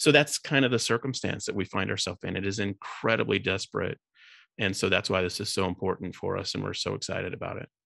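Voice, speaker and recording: In a very clean recording with a silent background and a dry, close sound with no echo, a man speaks at a very fast pace in a fairly low pitch, with a bright, sharp tone and ordinary pitch variation. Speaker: charity co-founder. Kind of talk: interview.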